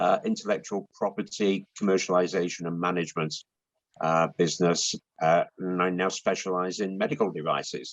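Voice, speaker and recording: A man speaks in a British accent at a moderate pace. The sound is dry and close, with no echo. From UK. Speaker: intellectual property consultant. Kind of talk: interview. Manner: hesitant, many fillers.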